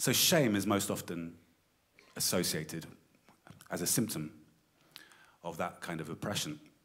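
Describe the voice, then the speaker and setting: A man's very deep, low voice with lively intonation and long, frequent pauses. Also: moderate pace. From South London. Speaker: performance artist, university lecturer. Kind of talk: lecture. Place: stage.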